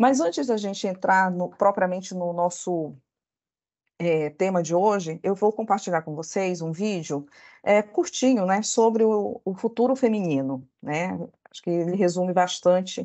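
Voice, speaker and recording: A woman at medium pitch, fairly slow in pace, with ordinary pitch variation. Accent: Belém. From northern Brazil, Belém. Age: 40s. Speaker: corporate lawyer. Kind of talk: presentation. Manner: halting.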